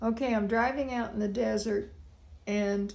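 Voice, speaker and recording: Audible room echo follows a woman as she talks. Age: 80s+. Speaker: feng shui consultant. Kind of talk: consultation; casual chat.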